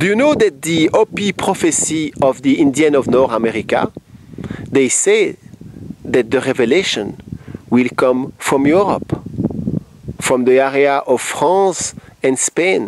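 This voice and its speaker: A man in a Belgian accent talks at a fairly slow pace in a fairly high voice with lively intonation, very even loudness and long, frequent pauses, against noticeable background noise. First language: French. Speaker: self-described spiritual messenger. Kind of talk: spiritual monologue.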